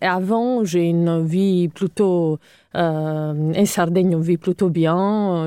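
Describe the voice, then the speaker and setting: On a very clean recording with a silent background, a woman speaks at a fairly low pitch in a dark, mellow tone with fairly even intonation and a dry, close sound with no echo. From Sardinia, Italy (Cagliari). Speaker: architect. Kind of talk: interview.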